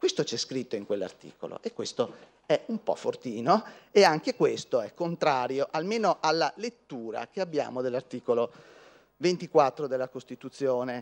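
With very wide swings in pitch, a man keeps to a moderate pace as he talks. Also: fairly high pitch for a man. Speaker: law professor. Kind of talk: conference talk. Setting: lecture hall with audience. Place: hall. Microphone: podium.

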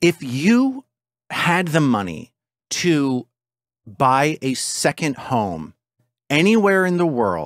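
A man speaks over a quiet background. The sound is dry, with no echo. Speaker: podcast host. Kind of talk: casual podcast intro chat. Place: home room. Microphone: studio mic.

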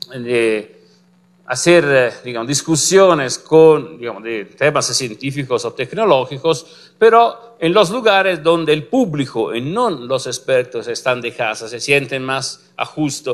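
A man with an Italian accent speaks at a fairly slow pace with lively intonation. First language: Italian (speaking Spanish). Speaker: physicist, complex systems researcher; lecturer. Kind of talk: lecture. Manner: halting, many fillers. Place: classroom.

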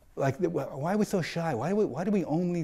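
Against a quiet background, the man's tone is dark and mellow. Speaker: interviewee. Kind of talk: interview answer. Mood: reflective, animated. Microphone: lapel.

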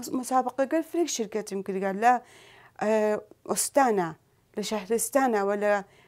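At a fairly slow pace, a woman talks with lively intonation and a fairly high pitch, leaving long, frequent pauses against a quiet background. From Sanandaj, Iranian Kurdistan; Iranian Kurdistan. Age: 40s. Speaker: Quran teacher and athlete; Quran teacher. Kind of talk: talk show interview. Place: studio.

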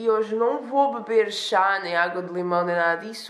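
Audible room echo surrounds the voice. The pace is moderate and the intonation fairly even. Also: woman. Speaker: vlogger. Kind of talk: casual vlog chat. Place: home room. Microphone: phone near.

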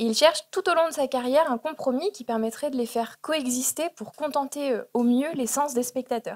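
On a very clean recording with a silent background and a dry, close sound with no echo, a woman speaks at a moderate pace with a high pitch and ordinary pitch variation. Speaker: doctoral student. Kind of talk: conference paper. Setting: auditorium.

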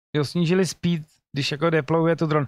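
In a dry recording with no echo and a quiet background, a man speaks at a fairly high pitch. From Czech Republic. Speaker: gaming streamer. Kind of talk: casual commentary reading patch notes. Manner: casual, swearing, reading English aloud. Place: home room. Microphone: studio mic.

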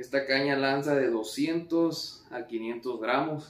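Audible room echo surrounds a man's voice. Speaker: fishing vlogger. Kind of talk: casual vlog chat. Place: home room. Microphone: camera far.

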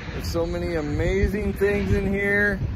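There is noticeable background noise. A man speaks at a fairly slow pace. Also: dry sound with no echo. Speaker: vlogger. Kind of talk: casual vlog chat. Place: street. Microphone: phone near.

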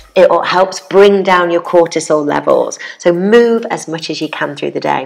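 A woman with a British accent at a moderate pace. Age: 40s. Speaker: fitness presenter and educator. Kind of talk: tutorial. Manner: animated. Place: home room. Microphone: lapel.

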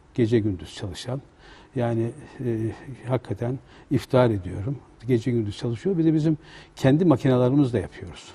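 Speaking at a fairly quick pace, a man uses a somewhat breathy voice with lively intonation. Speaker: guest. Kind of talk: interview answer. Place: studio. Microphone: lapel.

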